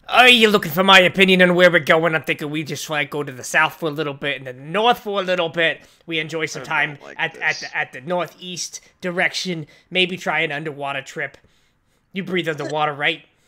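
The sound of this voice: A man's put-on character voice, fairly high in pitch and fairly quick in pace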